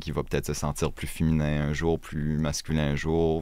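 A man speaks at a fairly slow pace with a very deep, low pitch. Noticeable background noise can be heard. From Acadia, northern New Brunswick. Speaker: podcast guest. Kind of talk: casual interview chat. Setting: small podcast studio.

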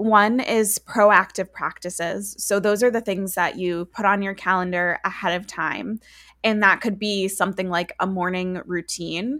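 In an ordinary speaking voice, a woman talks at a fairly slow pace and medium pitch with fairly even intonation, on a very clean recording with a silent background. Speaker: author and coach. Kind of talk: interview conversation.

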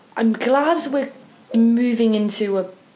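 A woman with a normal speaking voice talks at a fairly slow pace. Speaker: podcast co-host. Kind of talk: casual chat.

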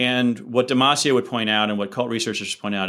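In a very clean recording with a silent background, a man with an American accent talks with fairly even intonation. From US, Philadelphia suburbs. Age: 50s. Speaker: author and business consultant. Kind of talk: interview conversation.

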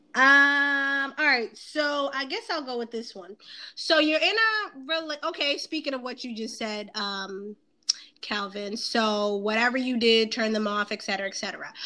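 A woman speaks fairly slowly with an American accent, her pitch high. Her intonation is lively. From Boston, US East Coast. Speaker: podcast host. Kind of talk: casual chat.

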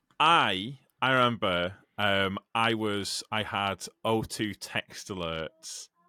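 Very clean with a silent background and a dry, close sound with no echo, this very slow speech in an English accent has a bright, sharp tone and ordinary pitch variation. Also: man, fairly low pitch for a man. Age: 30s. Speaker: podcast host and truck driver. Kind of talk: casual chat.

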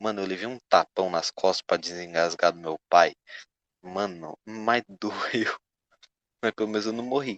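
A man speaks at a fairly slow pace, with long, frequent pauses. His fairly low pitch shows ordinary pitch variation. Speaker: podcast host. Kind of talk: casual chat.

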